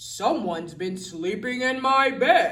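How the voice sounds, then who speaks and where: A man's raised, projected, put-on character voice, growling at an extremely high pitch, with very wide pitch swings and a fairly slow pace. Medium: read story.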